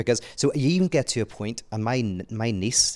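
A man speaks in a Northern Irish accent with ordinary pitch variation. The recording is very clean, the background silent. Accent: Northern Irish (Belfast). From Northern Ireland, Belfast. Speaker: author and theologian. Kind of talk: casual conversation. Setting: apartment, in person.

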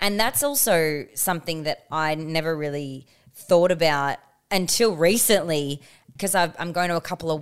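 The recording is very clean, with a silent background. A woman with an Australian accent speaks fairly low at a moderate pace, her pitch varying in an ordinary way. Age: 20s. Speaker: podcast co-host. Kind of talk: casual chat.

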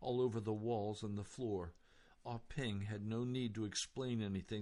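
The speaker gives a plain reading aloud with fairly even intonation.

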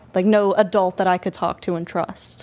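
The speaker is a woman with a normal speaking voice. Her pitch is medium, and her pace is moderate. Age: 20s. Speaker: young mother. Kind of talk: personal testimony.

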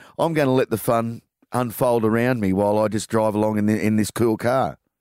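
Speaking at a moderate pace with ordinary pitch variation, a man with an Australian accent is heard on a very clean recording with a silent background and a dry, close sound with no echo. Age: 50s. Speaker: radio host. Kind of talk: radio interview.

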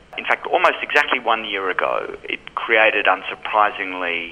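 Noticeable background noise sits under the speech. The speaker is a man with an Australian accent. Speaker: film programmer. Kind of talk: interview. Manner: measured, with frequent fillers.

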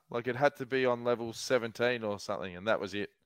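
The voice carries an Australian accent, recorded very cleanly with a silent background and a dry, close sound with no echo. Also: man. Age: 40s. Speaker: podcast host. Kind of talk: casual chat.

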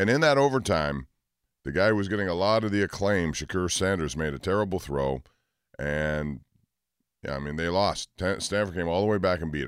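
Speaking at a fairly quick pace with lively intonation, a man with a very deep, low pitch is heard in a very clean recording against a silent background. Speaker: sports radio host. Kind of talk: sports talk radio. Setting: studio.

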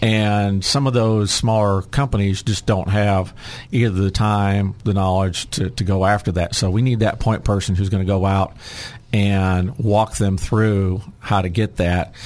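A man with an American accent has an ordinary speaking voice at a fairly low pitch. He talks at a fairly slow pace with fairly even intonation and very even loudness. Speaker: state legislator. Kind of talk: radio interview.

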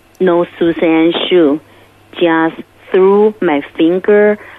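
Talking at a very slow pace, a woman uses a fairly low pitch with ordinary pitch variation. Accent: Chinese. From Beijing, China. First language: Mandarin Chinese. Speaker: musician. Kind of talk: testimony. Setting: phone call. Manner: halting.

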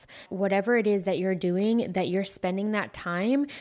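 A woman with an American accent, a medium pitch and a dark, mellow tone, on a very clean recording with a silent background. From United States. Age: 30s. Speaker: podcast host. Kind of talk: solo monologue podcast.

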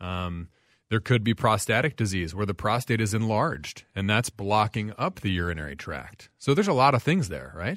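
A man's plain, everyday voice, fairly low in pitch, at a moderate pace with lively intonation. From US South (Franklin, Tennessee). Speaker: urologist. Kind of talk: radio call-in discussion. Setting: radio studio.

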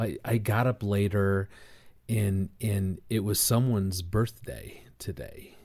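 Very slowly and somewhat breathily, a man speaks at a fairly low pitch with a dark, mellow tone and fairly even intonation on a very clean recording with a silent background. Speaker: marriage ministry leader. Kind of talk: casual chat.

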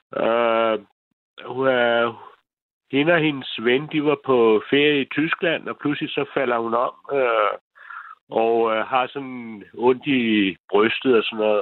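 The pitch variation is ordinary. The pace is very slow. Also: man. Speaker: caller. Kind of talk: phone-in call.

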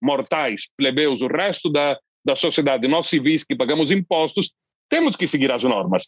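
With an ordinary speaking voice and fairly high pitch, a man talks at a moderate pace in a dry, close sound with no echo. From southern Brazil (Londrina, Paraná). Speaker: foreign correspondent journalist. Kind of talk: interview discussion.

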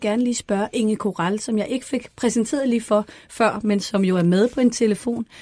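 Speaking at a fairly quick pace, a woman uses an unremarkable speaking voice, fairly high in pitch, with fairly even intonation. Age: 40s. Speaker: podcast host. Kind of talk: studio panel discussion. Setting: studio.

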